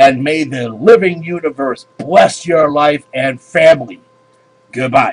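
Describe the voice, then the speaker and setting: Over faint background music, a man does a put-on character voice at a fairly high pitch and a fairly slow pace. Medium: read story. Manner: measured, authoritative.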